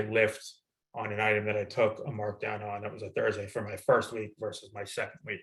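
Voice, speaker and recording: At a fairly quick pace, a man speaks in a fairly low, somewhat breathy voice. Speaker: retail planning executive. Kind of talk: webinar product demo. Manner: halting, self-described stuttering; casual, conversational.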